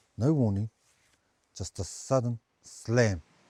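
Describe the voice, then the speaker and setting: In a dry, close recording with no echo, a man speaks somewhat breathily in a dark, mellow tone with ordinary pitch variation. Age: 50s. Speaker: fish factory supervisor. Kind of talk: dramatic personal narration.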